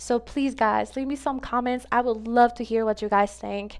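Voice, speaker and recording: A woman with a Spanish accent and ordinary pitch variation, on a very clean recording with a silent background. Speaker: gaming content creator. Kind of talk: casual vlog advice talk to viewers. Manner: casual, filler-heavy, repetitive.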